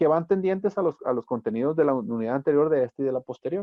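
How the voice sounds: A man with a medium-pitched voice speaks at a fast pace with lively intonation, in a dry, close sound with no echo.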